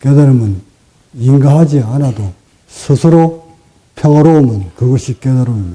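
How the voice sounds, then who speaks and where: A man speaks at medium pitch and a moderate pace with a dark, mellow tone and a somewhat breathy quality. He leaves long, frequent pauses and uses ordinary pitch variation. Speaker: meditation teacher. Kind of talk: dharma talk. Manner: sometimes sharp, sometimes gentle.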